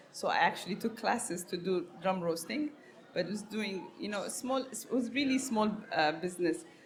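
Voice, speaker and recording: The woman's voice is somewhat breathy. Her intonation is lively. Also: medium pitch for a woman, moderate pace. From Ethiopia, Harar region. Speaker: coffee business owner. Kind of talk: interview. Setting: live podcast. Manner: halting.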